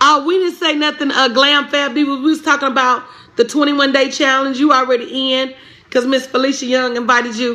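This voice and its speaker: Over noticeable background noise, a woman with a Southern US accent speaks in a raised, projected voice, high in pitch, with an animated tone and a fairly quick pace. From Tennessee, Pulaski. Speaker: business coach. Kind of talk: live stream chat.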